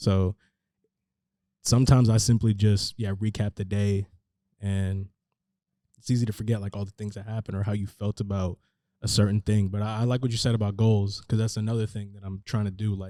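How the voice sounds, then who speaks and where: A dark, mellow voice with an American accent stays monotone and flat, marked by long, frequent pauses. Loudness swings widely in a very clean recording with a silent background. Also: man. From San Francisco Bay Area, California. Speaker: rapper. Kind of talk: casual interview chat. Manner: hesitant, many fillers like 'like'.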